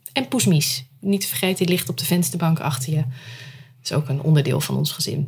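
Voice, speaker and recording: The speech moves at a fairly quick pace with ordinary pitch variation. Noticeable background noise runs throughout. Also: woman, very deep, low pitch for a woman. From Netherlands, Rotterdam. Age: 30s. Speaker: storytelling entrepreneur, former journalist. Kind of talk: casual interview. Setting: at home.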